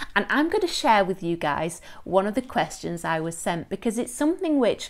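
A woman at a moderate pace with very wide pitch swings, against a quiet background. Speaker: lifestyle coach. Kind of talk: casual vlog chat. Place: home room. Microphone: phone near.

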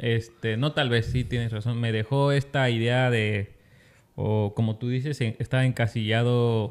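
A man talks at a fairly slow pace with monotone, flat intonation and very even loudness. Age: 20s. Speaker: podcast co-host. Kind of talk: casual chat; casual podcast conversation. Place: studio. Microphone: studio mic.

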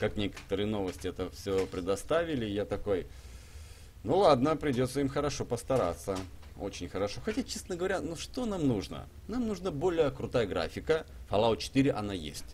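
A man with vocal fry and very wide pitch swings at a moderate pace, over light background noise. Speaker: gaming streamer. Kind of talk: live stream gameplay commentary. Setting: live stream with chat and donations. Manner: animated, chatty.

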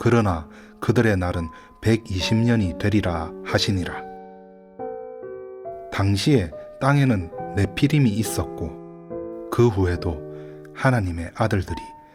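Over music in the background, a man speaks calmly at a very slow pace with long, frequent pauses, his very deep, low voice swinging very widely in pitch. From Gyeongsang region, South Korea. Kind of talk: Bible reading. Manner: slow, calm.

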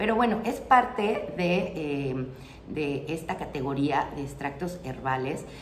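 A woman talks at a very deep, low pitch. Audible room echo and light background noise surround her. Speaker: herbal remedies channel host. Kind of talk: casual explanatory vlog talk. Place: home room.

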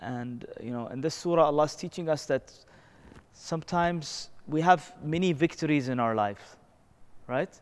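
His voice pitched fairly high, the man talks with ordinary pitch variation. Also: moderate pace. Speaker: Islamic teacher. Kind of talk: religious lecture. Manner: conversational, frequent filler words. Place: church. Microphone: lapel.

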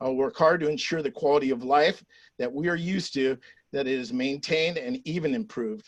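A man's unremarkable speaking voice, fairly high in pitch, with lively intonation, a moderate pace and a dry, close sound with no echo. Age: 60s. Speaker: retired teacher, city council candidate. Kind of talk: campaign closing statement. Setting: virtual candidate forum.

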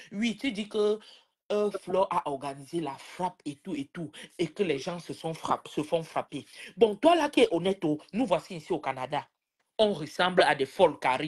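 The background stays quiet as a woman speaks. Her pace is moderate. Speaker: live-stream participant; live stream commentator. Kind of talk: casual live-stream chat. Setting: video call. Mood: indignant, scolding. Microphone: phone near.

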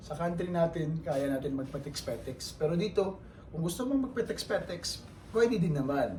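Audible room echo colors a man's voice. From Philippines. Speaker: vlogger, overseas Filipino worker. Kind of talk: casual vlog monologue.

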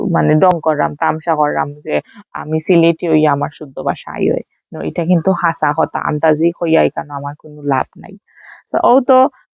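A woman speaks with a Sylheti accent and big swings in loudness. The sound is dry and close, with no echo. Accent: Sylheti-accented Bengali. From Sylhet, Bangladesh. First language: Sylheti (speaking Bengali). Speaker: vlogger. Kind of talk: casual vlog narration. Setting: at home with friends and children.

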